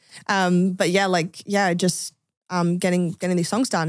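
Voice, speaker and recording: A woman speaks in an Australian accent at a moderate pace with fairly even intonation. The recording is very clean, with a silent background. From Adelaide, Australia. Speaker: singer-songwriter. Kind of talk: casual chat.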